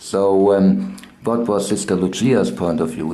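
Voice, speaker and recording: Very slow speech over noticeable background noise. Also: man. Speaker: interviewer. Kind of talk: interview question.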